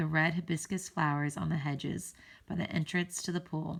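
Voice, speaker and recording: A woman's put-on character voice, raspy and fairly low-pitched, at a moderate pace with monotone, flat intonation. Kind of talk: read-aloud narration. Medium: read story. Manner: halting, self-correcting.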